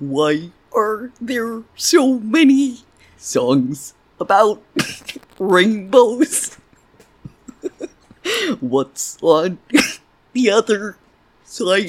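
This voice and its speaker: A put-on character voice with a fairly high pitch moves at a very slow pace, with long, frequent pauses. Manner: goofy.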